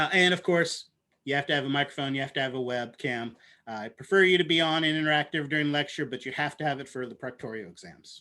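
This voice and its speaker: A man at a very fast pace, fairly high in pitch with ordinary pitch variation and big swings in loudness. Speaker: university biology lecturer. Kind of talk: online lecture. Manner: animated.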